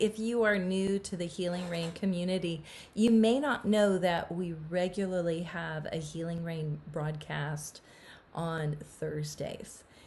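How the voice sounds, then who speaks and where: The voice is somewhat breathy, with ordinary pitch variation at a fairly slow pace. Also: woman, fairly low pitch for a woman. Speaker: pastor. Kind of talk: casual talk to camera.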